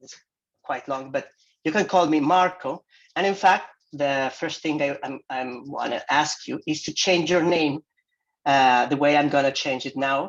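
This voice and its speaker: A man speaks at a fairly high pitch and a fairly slow pace. His intonation is fairly even. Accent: non-native. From Mexico, Jalisco. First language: Spanish. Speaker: visiting professor. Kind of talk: lecture. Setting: video call.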